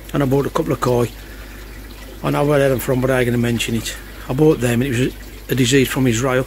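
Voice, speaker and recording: With light background noise, a man speaks in a dry sound with no echo. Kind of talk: casual vlog chat. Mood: worried, subdued. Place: garden. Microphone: phone near.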